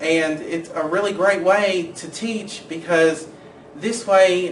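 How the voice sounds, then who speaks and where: With an American accent, a man speaks with ordinary pitch variation amid noticeable background noise and audible room echo. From Kentucky, Winchester. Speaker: education student. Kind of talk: personal introduction video.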